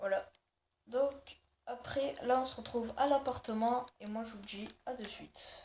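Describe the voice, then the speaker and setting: The speech is very slow, with fairly even intonation but big swings in loudness. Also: woman, high pitch for a woman. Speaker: gaming youtuber. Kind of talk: game tutorial. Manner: hesitant, many fillers.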